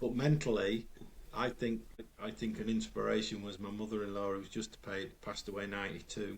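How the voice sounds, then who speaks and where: Flat and monotone, a man speaks at a fairly quick pace. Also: fairly low pitch for a man. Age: 60s. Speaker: retired police officer, coach and author. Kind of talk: podcast interview.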